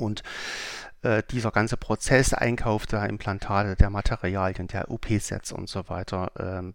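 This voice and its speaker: The recording is very clean, its background silent. A man with a fairly low pitch talks at a moderate pace. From Saxony, Germany (Leipzig). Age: 40s. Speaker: company CEO. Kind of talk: interview. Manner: hesitant with frequent fillers.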